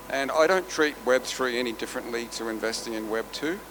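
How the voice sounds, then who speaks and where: A man with an Australian accent talks fairly quickly at medium pitch. There is noticeable background noise and audible room echo. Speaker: venture capital investor. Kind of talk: conference panel talk. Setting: stage with audience.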